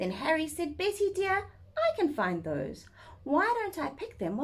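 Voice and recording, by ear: Reading aloud happens in a natural voice.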